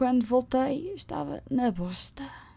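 A woman with a European Portuguese accent is heard on a very clean recording with a silent background. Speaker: podcaster. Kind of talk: casual monologue. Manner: animated.

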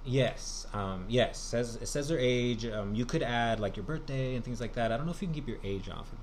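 In a room with audible echo, a man with an American accent speaks at a medium pitch and a fairly quick pace, with ordinary pitch variation and hardly any pauses. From Southern California. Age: 20s. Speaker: podcast guest. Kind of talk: casual chat.

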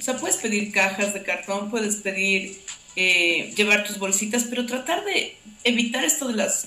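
Amid noticeable background noise and audible room echo, a woman with a medium pitch speaks at a moderate pace with ordinary pitch variation. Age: 40s. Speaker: NGO operations director. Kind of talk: casual interview chat.

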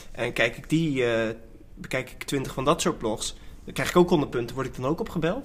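This man has a normal speaking voice with a fairly high pitch and ordinary pitch variation. He keeps a moderate pace, but his loudness swings widely. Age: 20s. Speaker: podcast host. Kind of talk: casual chat.

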